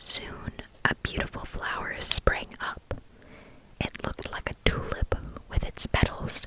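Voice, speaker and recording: Whispering at a very slow pace, the speaker leaves long, frequent pauses amid noticeable background noise. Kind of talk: fairytale reading to help sleep. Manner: whispered, soft.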